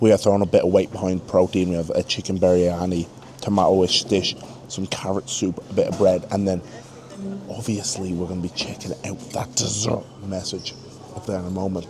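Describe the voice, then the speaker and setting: A man's fairly low voice moves at a moderate speed while music plays behind him. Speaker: pro rugby player and travel vlogger. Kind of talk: travel vlog. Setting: airport lounge. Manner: casual; quiet, near whisper.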